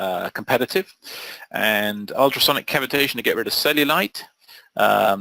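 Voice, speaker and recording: A man with a British accent at a moderate pace, in a dry, close sound with no echo. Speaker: SEO trainer. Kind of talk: webinar tutorial.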